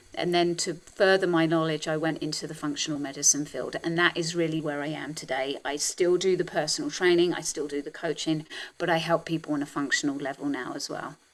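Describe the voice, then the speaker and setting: A woman with a British accent speaks at a fairly quick pace with hardly any pauses. Her pitch is very deep and low, her intonation monotone and flat. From England. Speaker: health and wellness coach. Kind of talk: interview conversation.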